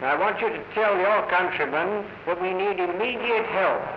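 With audible room echo and light background noise, a man speaks at a high pitch and a fairly slow pace. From Britain. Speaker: naval officer. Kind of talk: scripted film dialogue. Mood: earnest, urgent appeal. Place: office. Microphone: old recording.

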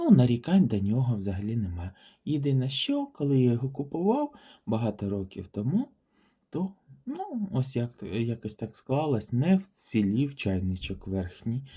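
Speaking at a fairly slow pace, a man with a medium pitch has a dark, mellow, somewhat breathy voice and lively intonation. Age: 40s. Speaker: vintage porcelain YouTuber. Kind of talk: product showcase video. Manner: warm, enthusiastic.

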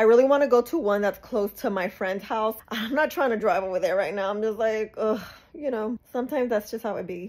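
Fairly quick and with ordinary pitch variation, a woman is talking. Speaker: beauty vlogger. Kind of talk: casual vlog chat. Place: home room. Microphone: phone near.

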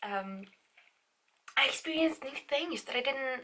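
This woman talks at a fairly slow pace with a high pitch and lively intonation. Her tone is bright and sharp, with a slightly husky edge.

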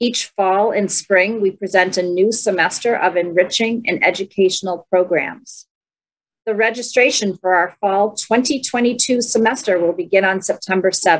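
A woman at a moderate pace, with very even loudness and ordinary pitch variation. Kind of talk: program announcements. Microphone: webcam.

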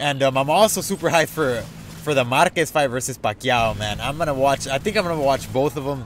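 In an animated tone, a man with a fairly high pitch talks at a fairly quick pace with ordinary pitch variation. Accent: American. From Mexican American, US. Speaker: gaming YouTuber. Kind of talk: casual vlog. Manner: loud, screaming.

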